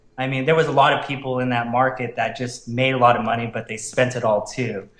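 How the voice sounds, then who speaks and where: Noticeable background noise and audible room echo surround a man's voice. He has a medium pitch and a fairly quick pace. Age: 30s. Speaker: network marketer. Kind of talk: interview testimony.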